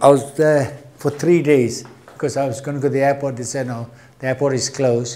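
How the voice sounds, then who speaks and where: Speaking at a fairly quick pace, a man with a fairly high pitch keeps his intonation monotone and flat. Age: 60s. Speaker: retired airport cargo handler, witness. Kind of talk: oral history interview testimony. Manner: halting, with false starts.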